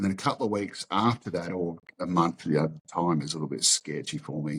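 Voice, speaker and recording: This man has a very deep, low voice and an Australian accent. He talks at a moderate pace with ordinary pitch variation. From western Sydney, Australia. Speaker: martial arts school owner. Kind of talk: interview testimony. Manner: halting, repeats words.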